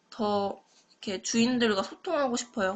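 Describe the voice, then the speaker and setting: A woman with ordinary pitch variation. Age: 20s. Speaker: university student. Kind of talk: class presentation. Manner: halting.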